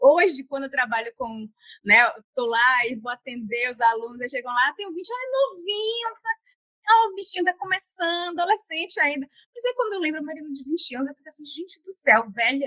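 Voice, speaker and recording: A woman speaks in a raised, projected voice at a high pitch and a fairly quick pace, her tone bright and sharp, with very wide pitch swings and big swings in loudness, all in dry, close sound with no echo. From Bahia, Northeast Brazil. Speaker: guest on career podcast, former public health worker. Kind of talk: interview conversation. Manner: halting, frequent repetitions and fillers.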